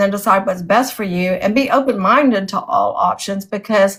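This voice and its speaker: On a very clean recording with a silent background, a woman with a somewhat breathy voice speaks at a moderate pace and medium pitch with ordinary pitch variation. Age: 60s. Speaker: author and interviewer. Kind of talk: casual chat.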